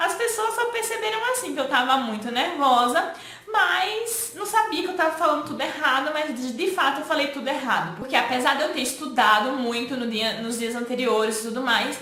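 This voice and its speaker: A woman's raised, projected voice, high in pitch with very wide pitch swings, at a moderate pace with hardly any pauses over noticeable background noise. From Maceió, Alagoas, Brazil. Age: 20s. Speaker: tax specialist, teacher and career coach. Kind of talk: casual talk to camera.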